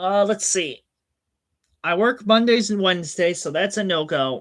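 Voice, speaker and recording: Loud and animated, a high-pitched man speaks at a moderate pace with ordinary pitch variation. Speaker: streamer. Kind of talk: casual chat. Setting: home hobby room, livestream.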